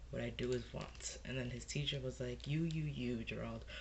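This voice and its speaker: Noticeable background noise fills the recording. A man does the talking. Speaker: book reviewer. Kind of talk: reading a book quote aloud. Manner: casual, rambling.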